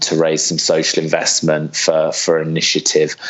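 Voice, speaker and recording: Speaking at a moderate pace with a British accent, the voice comes through over noticeable background noise. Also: man. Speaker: social entrepreneur. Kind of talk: interview.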